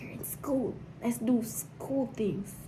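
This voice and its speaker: Audible room echo surrounds a woman's dark, mellow tone. Her voice is somewhat breathy, with ordinary pitch variation. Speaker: Navy sailor vlogger. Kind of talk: casual advice vlog. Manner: repetitive, halting.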